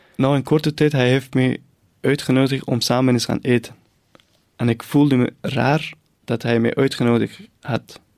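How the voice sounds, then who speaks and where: This speaker has a Persian accent and a fairly even intonation. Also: man. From northern Iran, near the Caspian Sea. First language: Persian (speaking Dutch). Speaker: refugee newcomer. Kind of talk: personal testimony. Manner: halting.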